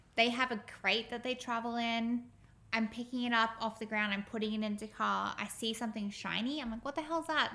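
A woman speaks with an Australian accent and a bright, sharp tone. Her pace is fairly quick and her intonation fairly even. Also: fairly high pitch for a woman. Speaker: podcast co-host. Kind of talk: casual chat.

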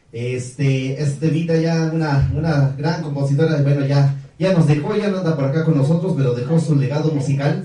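A man with a fairly high pitch talks at a moderate pace and very even loudness, with hardly any pauses, fairly even intonation and noticeable background noise. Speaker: singer. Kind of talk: casual radio interview. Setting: radio studio.

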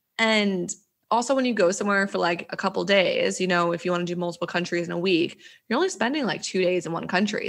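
In a very clean recording with a silent background, a woman at medium pitch speaks with an American accent. Her pace is very fast. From New Jersey. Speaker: digital nomad coach. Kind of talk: casual chat.

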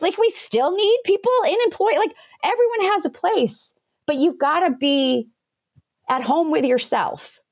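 A woman speaks with very wide pitch swings. The recording is very clean, the background silent. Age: 40s. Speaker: business founder and coach. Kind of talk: interview.

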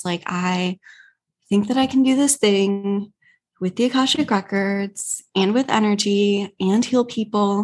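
A woman with an American accent speaks at a fairly slow pace in an unremarkable speaking voice. Her pitch is medium with ordinary variation, and the background is quiet. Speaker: spiritual healer and coach. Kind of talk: casual interview chat.

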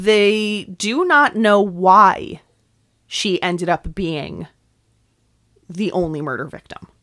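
A woman with a New York accent, medium in pitch and bright, sharp in tone, at a very slow pace, with ordinary pitch variation, big swings in loudness, and long, frequent pauses. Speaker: podcast host. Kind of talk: scripted narration of true crime, with casual banter.

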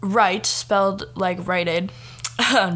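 Reading aloud, plain

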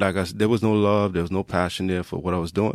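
With fairly even intonation, a man talks in a very deep, low pitch, captured on a very clean recording with a silent background. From Trinidad. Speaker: fitness trainer. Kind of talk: casual chat.

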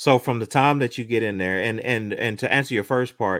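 At a moderate pace, a man uses a normal speaking voice with a medium pitch and ordinary pitch variation. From Oklahoma. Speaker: musician and marketer. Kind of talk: interview testimony. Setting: video call.

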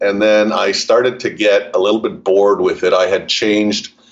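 A man with a Montreal accent talks at a moderate pace. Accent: Canadian English, Montreal. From Montreal, Canada. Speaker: family legacy advisor. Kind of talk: interview, explanatory conversation.

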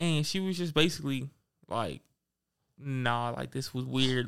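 In a very clean recording with a silent background, a man speaks at a fairly high pitch with lively intonation. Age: young. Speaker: podcast co-host. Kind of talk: casual chat.

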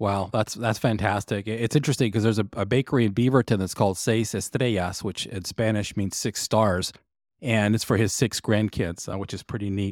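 A man with an American accent and an unremarkable speaking voice, fairly low in pitch, with fairly even intonation and a fairly quick pace, on a very clean, dry, close recording with no echo and a silent background. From Texas. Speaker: guest podcast host, interviewer. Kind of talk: interview.

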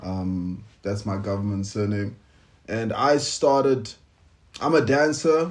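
This man talks at a very slow pace in a fairly low pitch. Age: 30s. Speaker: podcast co-host, TV presenter, actor and musician. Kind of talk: casual chat. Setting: home recording with lapel mics.

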